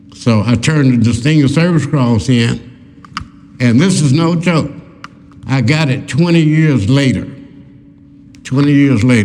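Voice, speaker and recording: Noticeable background noise sits behind a man with an American accent, his voice fairly high-pitched with ordinary pitch variation. He talks at a fairly slow pace with very even loudness. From Oklahoma, USA. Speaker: war veteran. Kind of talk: public talk to live audience. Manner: conversational, storytelling.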